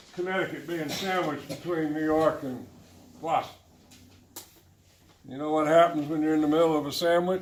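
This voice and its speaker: Man's fairly high voice with fairly even intonation, audible room echo and noticeable background noise. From Tennessee. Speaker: political candidate. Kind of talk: campaign speech.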